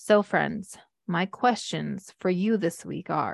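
A woman speaks in a normal speaking voice with ordinary pitch variation, recorded dry and close with no echo against a quiet background. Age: 40s. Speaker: podcast host and mothers' coach. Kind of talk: personal monologue.

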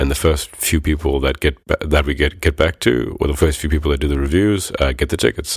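With vocal fry and fairly even intonation, the voice moves at a fairly quick pace with hardly any pauses. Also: man, very deep, low pitch for a man. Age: 20s. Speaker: podcast host. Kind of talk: scripted narration.

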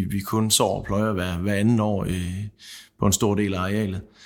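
A man speaks at a fairly slow pace and a fairly low pitch in a monotone, flat way. The recording is very clean, with a silent background. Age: 30s. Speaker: seed grower. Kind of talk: panel discussion. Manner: halting.

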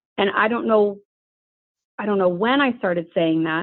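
Her pitch is medium and varies in an ordinary way as a woman with an unremarkable speaking voice talks at a moderate pace. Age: 40s. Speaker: author and parenting ministry leader. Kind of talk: casual interview chat.

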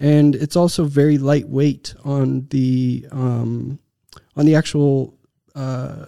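A man with a Texan accent talks at a very slow pace in a fairly high pitch, leaving long, frequent pauses. His tone is dark and mellow, and his intonation stays flat and monotone. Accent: American, Texan. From Texas. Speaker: tech startup founder and CEO. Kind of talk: interview. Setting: studio.

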